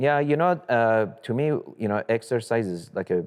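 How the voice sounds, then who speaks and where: At a moderate pace, a man with a Persian accent speaks with lively intonation. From Iran, moved to US at 14. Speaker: real estate investor. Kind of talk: interview.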